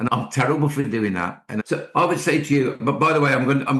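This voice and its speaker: A man speaks in a Scottish accent at a very fast pace. His intonation is lively, with vocal fry. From Scotland, Ayrshire. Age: 60s. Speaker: poet and school speaker. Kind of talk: podcast interview. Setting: at home, remote call.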